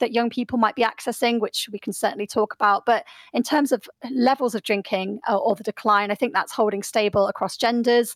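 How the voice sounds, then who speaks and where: A woman's very fast, high-pitched speech in a British accent, with ordinary pitch variation and a dry, close sound with no echo. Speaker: sociologist. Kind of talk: radio interview. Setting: remote studio link.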